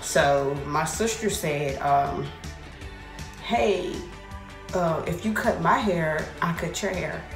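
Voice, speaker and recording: A woman's voice with ordinary pitch variation and clear music in the background. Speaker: hair vlogger. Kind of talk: casual vlog chat. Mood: amused storytelling, laughing. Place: bathroom. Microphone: phone near.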